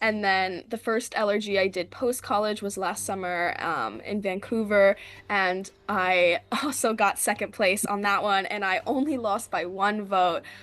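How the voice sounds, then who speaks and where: A woman's plain, everyday voice at a medium pitch and fairly slow pace, over a quiet background. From Philadelphia area, US. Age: 20s. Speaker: reality game contestant. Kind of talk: interview. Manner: casual, filler-heavy.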